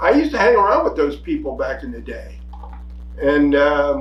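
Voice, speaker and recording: A man speaks with an American accent, and the room echo is audible. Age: 70s. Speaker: podcast co-host, army veteran. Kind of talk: casual political chat. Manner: animated.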